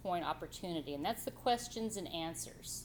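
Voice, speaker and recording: Lively intonation runs through this woman's speech. Her voice carries vocal fry. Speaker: college writing instructor. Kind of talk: classroom lecture. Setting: classroom with students. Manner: loud; animated.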